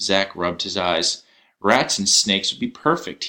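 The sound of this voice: The reading voice here is unforced. Nothing in it sounds pushed.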